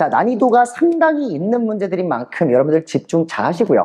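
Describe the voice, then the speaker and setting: Noticeable background noise behind fairly quick speech. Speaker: math tutor. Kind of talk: lecture. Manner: fast; casual.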